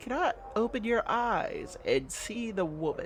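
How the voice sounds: The speaker uses a natural reading voice, and the intonation is lively.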